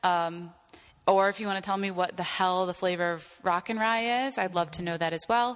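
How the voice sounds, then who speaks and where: A plain, everyday voice from a woman, medium in pitch, at a moderate pace with fairly even intonation, on a very clean recording with a silent background. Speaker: pop culture writer and podcast host. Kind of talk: casual chat.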